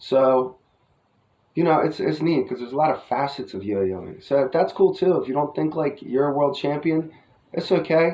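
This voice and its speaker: With a New Jersey accent, a man speaks in a fairly high voice. His tone is dark and mellow. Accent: New Jersey American. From US Northeast, New Jersey. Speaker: yo-yo hobbyist vlogger. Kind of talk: casual vlog review. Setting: outdoors. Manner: rambling casual, filler-heavy.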